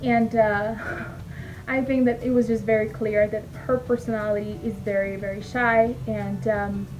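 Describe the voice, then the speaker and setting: A woman with a Spanish accent speaks at a moderate pace against noticeable background noise. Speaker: former teacher and mom vlogger. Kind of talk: casual vlog talk to camera. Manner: hesitant, many fillers.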